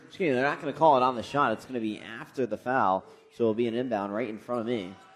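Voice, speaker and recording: A man's medium-pitched, energetic voice at a very fast pace, with ordinary pitch variation and music in the background. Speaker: sports broadcaster. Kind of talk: basketball radio play-by-play. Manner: fast-paced, energetic.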